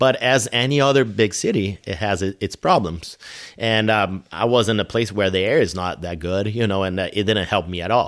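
A man with a Brazilian accent talks at a moderate pace, his fairly low voice showing ordinary pitch variation. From Brazil (São Paulo). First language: Portuguese. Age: 40s. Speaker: firefighter. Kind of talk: interview. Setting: in-person at host's home. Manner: halting.

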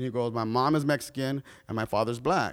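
A man with an American accent is heard in a very clean recording over a silent background. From US West Coast, East Los Angeles. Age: 40s. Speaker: school equity specialist. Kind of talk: interview.

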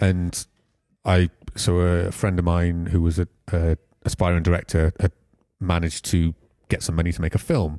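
A man with a South Wales accent speaks in a very deep, low pitch and a dark, mellow tone, his intonation monotone and flat, at a moderate pace with long, frequent pauses, the sound dry and close with no echo over a quiet background. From South Wales (Pontypool, Cwmbran). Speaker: film director. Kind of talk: casual interview.

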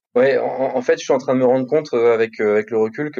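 At a very fast pace, a man rattles through his words. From France, Paris. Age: 30s. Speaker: chef and restaurateur. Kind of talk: interview conversation. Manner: halting, many repetitions.

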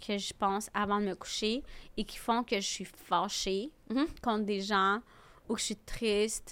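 On a very clean recording with a silent background, a woman talks at a fairly slow pace. Her fairly high voice keeps a fairly even intonation. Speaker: comedian. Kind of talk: casual chat.

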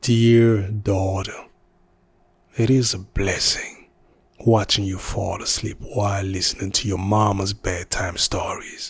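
On a very clean recording with a silent background, a man speaks very slowly in a fairly low, somewhat breathy voice with monotone, flat intonation. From Burkina Faso (Ouagadougou). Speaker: parent. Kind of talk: spoken word letter. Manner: reflective.

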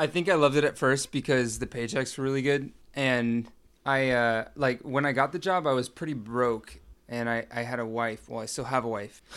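Man with a plain, everyday voice and an American accent, medium pitch, fairly even intonation and a moderate pace, on a very clean recording with a silent background. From Missouri, US Midwest. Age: young. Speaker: salesman and online store owner. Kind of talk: casual interview chat.

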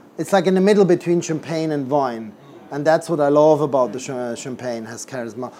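A man's fairly high voice with ordinary pitch movement, big swings in loudness, and noticeable background noise. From Switzerland. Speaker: champagne blogger. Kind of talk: casual chat. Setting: restaurant.

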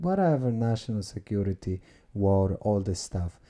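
A man's somewhat breathy voice, dark and mellow in tone, at a fairly slow pace. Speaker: podcast host. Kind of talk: casual chat. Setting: at home.

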